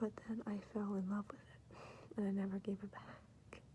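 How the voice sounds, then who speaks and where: The soft-spoken delivery moves at a fairly slow pace. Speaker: ASMR creator. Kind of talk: ASMR soft-spoken show and tell.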